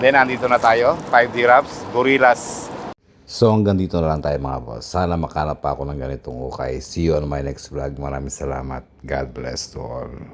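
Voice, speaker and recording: Very wide pitch swings and big swings in loudness at a moderate pace, over noticeable background noise. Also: man, very deep, low pitch for a man. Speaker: vlogger. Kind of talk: casual vlog narration. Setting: outdoors and in a thrift store.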